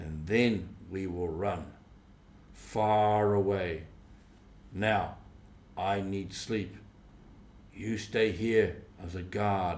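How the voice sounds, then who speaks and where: Using a put-on character voice, a man speaks in a fairly low pitch with fairly even intonation. The delivery is very slow, with long, frequent pauses and an audible echo. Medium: read story. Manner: domineering, contemptuous.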